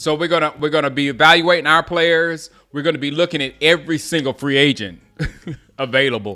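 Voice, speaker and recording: With an American accent, a man speaks at a fairly high pitch with ordinary pitch variation. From US South, Gaffney, South Carolina. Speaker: sports fan streamer. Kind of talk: casual live-stream watch-along chat. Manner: casual, halting with restarts.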